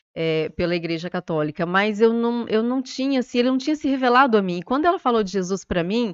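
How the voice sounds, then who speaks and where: A woman talks at a very fast pace with hardly any pauses, her fairly high pitch rising and falling in lively intonation. The sound is dry and close with no echo, over a quiet background. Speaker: lawyer. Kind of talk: testimony. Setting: studio.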